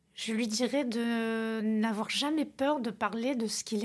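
Recorded very cleanly against a silent background, a woman speaks at a fairly high pitch. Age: 50s. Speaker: interior decorator and business owner. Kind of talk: interview. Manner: halting.

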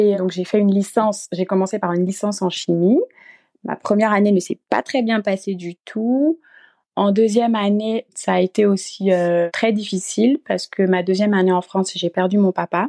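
A woman speaks at a medium pitch with a dark, mellow tone and fairly even intonation. Her moderate pace comes through in a dry, close sound with no echo. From Gabon. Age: 20s. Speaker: recent master's graduate and mother. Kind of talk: interview.

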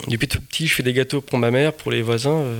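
Fairly quick speech from a man, with clear background noise throughout. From Portugal (Lisbon). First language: Portuguese (speaking French). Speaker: pastry chef. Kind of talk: interview.

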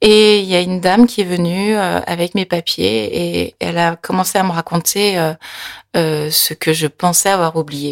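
A woman's fairly low pitch with ordinary pitch variation, in a dry, close recording with no echo. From France, near Nantes. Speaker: interview guest, Korean-born adoptee. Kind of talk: personal testimony interview. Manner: halting, with repetitions and fillers.

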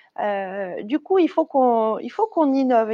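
A high-pitched woman's voice with a dark, mellow tone and lively intonation, dry and close with no echo over a quiet background. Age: 30s. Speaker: corporate training director. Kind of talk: interview.

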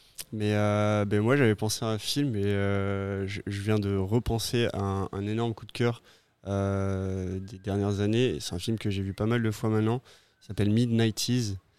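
Monotone and flat, a man with a fairly low pitch speaks at a fairly slow pace in a very clean recording with a silent background. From southwest France (Pau). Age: 30s. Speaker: brewer. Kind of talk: casual chat.

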